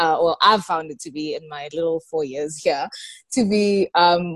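This woman has an unremarkable speaking voice, fairly low in pitch with ordinary pitch variation. She talks at a fairly slow pace, and the sound is dry and close with no echo. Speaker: student radio host. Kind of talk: interview.

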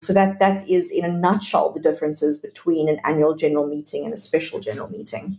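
A woman talks at a very fast pace with hardly any pauses, her fairly low, somewhat breathy voice dark and mellow in tone, with ordinary pitch variation. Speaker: podcast guest, property consultant. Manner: fast talker.

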